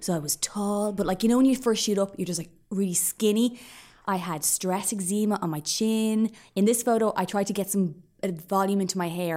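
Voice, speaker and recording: In an Irish accent, a woman speaks at a fairly quick pace with ordinary pitch variation, recorded very cleanly over a silent background. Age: 30s. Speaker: podcaster. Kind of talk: casual chat.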